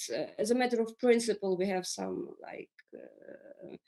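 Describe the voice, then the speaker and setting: Her pitch fairly high, a woman talks at a moderate pace with lively intonation. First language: Russian or Ukrainian. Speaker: business leader on a panel. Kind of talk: panel discussion. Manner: halting, many fillers and repetitions.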